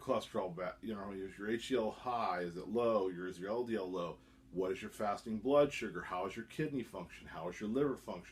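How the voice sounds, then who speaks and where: This is a man speaking. His intonation is lively. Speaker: YouTuber reviewing supplements. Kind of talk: casual vlog monologue. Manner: halting, self-correcting.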